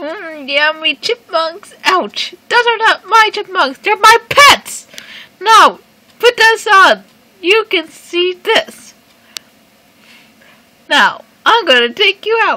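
This cartoonish character voice is extremely high in pitch and very slow. Long, frequent pauses break up the speech. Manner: menacing, bossy, shouting.

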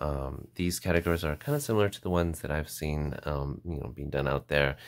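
The man's voice is very deep and low, moving at a fairly quick pace. His intonation stays fairly even against a quiet background. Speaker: fountain pen reviewer. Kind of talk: casual review talk to camera. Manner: chatty, hesitant.

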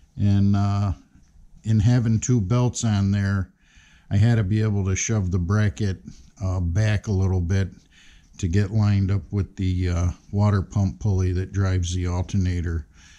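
Dark and mellow in tone, a man's fairly low voice holds very even loudness, fairly even intonation and a moderate pace. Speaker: hobby tractor restorer. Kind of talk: casual walkthrough explanation. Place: workshop. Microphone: phone near.

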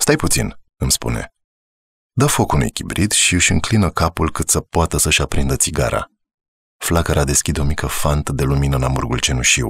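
In a dry, close sound with no echo, a man with a very deep, low pitch speaks at a moderate pace in a calm tone with ordinary pitch variation. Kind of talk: audiobook narration. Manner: measured, calm, storytelling pace with a reflective tone.

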